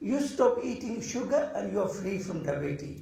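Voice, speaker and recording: A man speaks at a moderate pace. Noticeable background noise and audible room echo are present. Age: 70s. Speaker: Buddhist teacher. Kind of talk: dharma talk.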